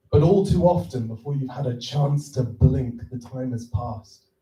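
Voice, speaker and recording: A man talks at a fairly slow pace and a medium pitch, with ordinary pitch variation. His tone is dark, mellow and somewhat breathy. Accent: Welsh. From Wales. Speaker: filmmaker and festival judge. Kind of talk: reading aloud own poem. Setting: stage with audience. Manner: slow, deliberate.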